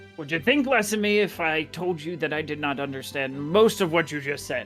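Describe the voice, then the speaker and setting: A woman speaks at a fairly quick pace in a put-on character voice pitched very deep and low, with clear music playing behind her. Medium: actual play. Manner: brusque, dry.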